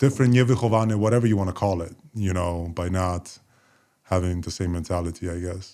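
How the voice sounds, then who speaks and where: A man's very deep, low voice, dark and mellow in tone, at a fairly quick pace with ordinary pitch variation, on a very clean recording with a silent background. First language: Polish. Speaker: former professional basketball player. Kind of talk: casual chat.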